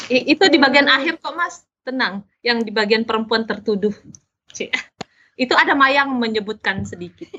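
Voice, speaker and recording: A high-pitched woman's voice with lively intonation at a moderate pace. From South Sulawesi, Indonesia (Makassar). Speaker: novelist and journalist. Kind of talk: casual interview.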